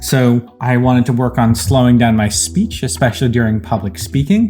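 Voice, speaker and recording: This man speaks at a medium pitch with an American accent. Music plays in the background. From US Northeast. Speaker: ICU doctor and data scientist. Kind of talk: casual talk to camera.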